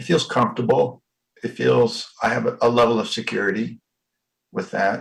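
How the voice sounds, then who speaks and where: A man talks at a moderate pace, with long pauses coming often. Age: 60s. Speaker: workshop participant. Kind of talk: coaching conversation. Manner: halting.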